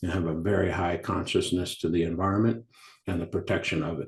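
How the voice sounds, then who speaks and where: Very deep and low in pitch, a man with an American accent talks at a fairly quick pace with fairly even intonation. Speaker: mining company executive. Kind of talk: interview. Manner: halting, many fillers and repetitions.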